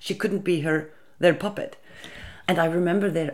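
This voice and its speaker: A woman talks with an Icelandic accent. Her very deep, low voice carries vocal fry. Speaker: interviewee on feminist history. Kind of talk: interview.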